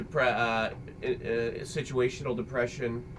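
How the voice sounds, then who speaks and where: At a moderate pace, a man speaks with a medium-pitched voice. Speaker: father and video creator. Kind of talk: casual chat. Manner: loud. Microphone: computer microphone, poor quality.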